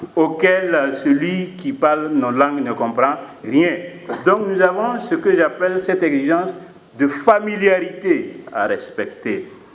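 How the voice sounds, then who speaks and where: A man with a high pitch speaks at a very slow pace, with audible room echo and noticeable background noise. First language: Mooré (speaking French). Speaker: philosophy professor. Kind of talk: conference talk. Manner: formal; hesitant with fillers.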